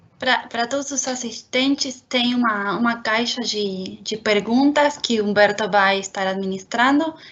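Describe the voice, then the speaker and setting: Speaking at a fairly slow pace with hardly any pauses, a woman uses a fairly high pitch and ordinary pitch variation. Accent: Spanish. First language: Spanish (speaking Portuguese). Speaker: marketing and communications manager. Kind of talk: webinar introduction. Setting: online webinar.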